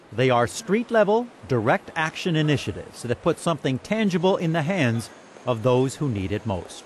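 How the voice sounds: A man talks at a moderate pace in a medium pitch, with big pitch swings.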